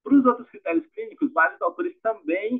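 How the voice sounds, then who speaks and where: Male speech at a fairly quick pace with very wide pitch swings. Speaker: medical resident presenting a case. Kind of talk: case presentation.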